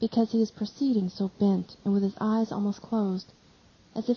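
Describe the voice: The plain reading aloud follows a fairly even intonation.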